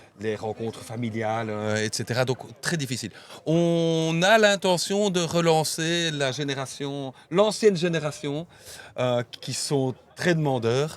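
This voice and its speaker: A fairly high male voice, lively in intonation, at a very slow pace. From Belgium, Namur (La Plante district). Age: 50s. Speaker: association president. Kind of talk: casual interview chat. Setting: outdoors by the river. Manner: halting, many hesitations.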